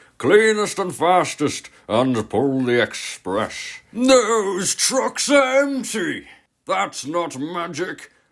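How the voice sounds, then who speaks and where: A man puts on a pompous character voice with a high pitch. He speaks at a very slow pace on a very clean recording with a silent background. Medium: solo performance.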